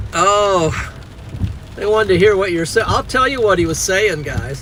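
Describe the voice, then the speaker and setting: With an American accent, a man speaks at a high pitch over noticeable background noise. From Nebraska. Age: 60s. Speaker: storm chaser streamer. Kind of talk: casual chat.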